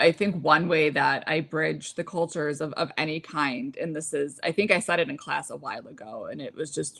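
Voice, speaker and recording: Delivered at a moderate pace, the speech comes with an American accent and lively intonation. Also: woman. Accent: none in English. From United States, Lebanese family. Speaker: podcast host. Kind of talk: casual chat. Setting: live stream.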